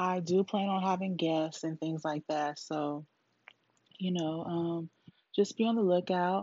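Her fairly low-pitched voice moves at a fairly slow pace, and this woman keeps her intonation fairly even. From California. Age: 30s. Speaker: podcast host. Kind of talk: casual monologue. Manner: rambling, casual.

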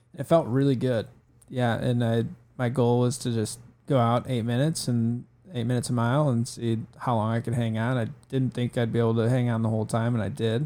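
A man with an Upper Midwest accent speaks at a medium pitch in a dark, mellow tone, with a monotone, flat intonation and a fairly quick pace. The recording is very clean, with a silent background. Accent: Upper Midwest American. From Northern Michigan, Traverse City. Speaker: amateur marathon runner. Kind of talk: casual chat. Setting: studio.

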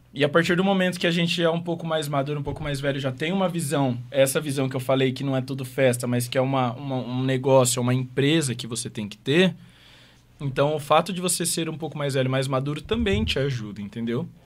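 Fairly quick in pace, a man with an ordinary speaking voice talks at a fairly high pitch with ordinary pitch variation. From Maringá, Paraná, Brazil. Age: 20s. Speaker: DJ and music producer. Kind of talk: casual interview.

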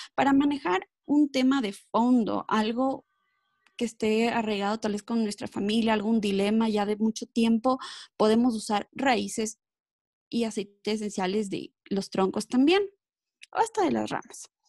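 A woman speaks at a fairly slow pace, her voice somewhat breathy and fairly high, with ordinary pitch variation. The recording is very clean and dry, close with no echo, over a silent background. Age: 30s. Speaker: wellness specialist. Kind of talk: interview. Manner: filler-heavy.

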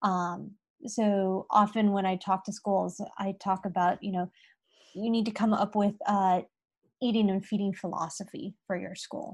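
The speaker has an American accent and a somewhat breathy voice with fairly even intonation. The recording is very clean, with a silent background. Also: woman, medium pitch for a woman, fairly slow pace. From California, US. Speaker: dietitian. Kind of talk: interview conversation.

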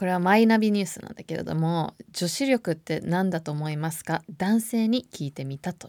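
A woman with an ordinary speaking voice talks fairly quickly at a fairly low pitch, with hardly any pauses and lively intonation. Her loudness swings widely on a very clean recording with a silent background. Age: 30s. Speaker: podcast host. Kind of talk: casual monologue.

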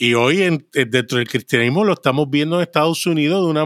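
Pitch moves in an ordinary way within a dry, close sound that carries no echo. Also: man. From Puerto Rico, with childhood in Brooklyn, New York. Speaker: podcast guest, special effects industry worker. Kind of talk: casual interview with personal testimony.

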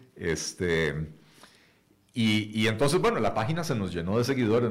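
There is audible room echo around a man's voice. He speaks at a moderate pace in a fairly low pitch. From Costa Rica. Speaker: economist and party leader. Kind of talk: radio interview. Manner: hesitant, many fillers and repetitions.

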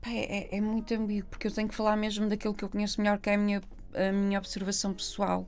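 Over music in the background, a woman speaks very fast at a medium pitch with monotone, flat intonation. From northern Portugal, Gaia/Porto. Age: 40s. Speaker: theatre artist and Roma activist. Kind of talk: interview conversation. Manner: halting, many repetitions.

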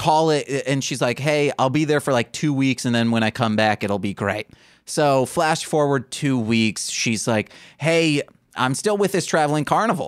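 The man has a normal speaking voice, fairly high pitched, with lively intonation, very even loudness and a moderate pace. His recording is very clean with a silent background, dry and close without echo. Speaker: podcast host. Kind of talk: casual banter podcast chat.

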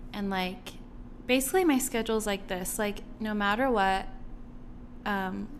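Fairly even intonation in a space with audible room echo. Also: woman. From Guam. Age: 20s. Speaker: business owner and model. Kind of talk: casual interview chat.

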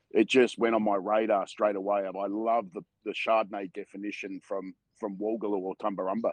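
With an Australian accent, the speaker moves at a fairly quick pace in a monotone, flat intonation. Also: man, fairly low pitch for a man. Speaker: wine brand co-founder. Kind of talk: casual interview. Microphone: internet connection cutting in and out.

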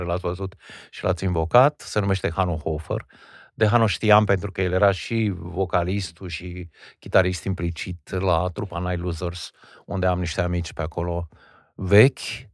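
A man speaks with a very deep, low pitch and fairly even intonation against a quiet background. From Old Kingdom Romania (Regat). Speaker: stage and film actor. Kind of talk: interview conversation. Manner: academic, formal.

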